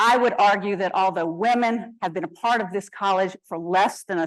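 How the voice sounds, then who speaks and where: In an ordinary speaking voice, a woman talks at a moderate pace with ordinary pitch variation against a quiet background. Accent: American. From US South. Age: 60s. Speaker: activist and alumna speaker. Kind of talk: prepared talk. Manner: formal.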